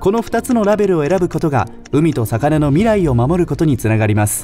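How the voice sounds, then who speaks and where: Music plays in the background as a man speaks at a moderate pace. His fairly high voice makes very wide pitch swings. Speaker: radio DJ narrator. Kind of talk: explainer video narration.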